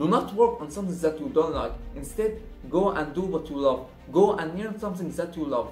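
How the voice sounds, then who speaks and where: Speech comes at a fairly quick pace, with faint music in the background and audible room echo. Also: man. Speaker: motivational vlogger. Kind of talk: casual vlog chat. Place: home room.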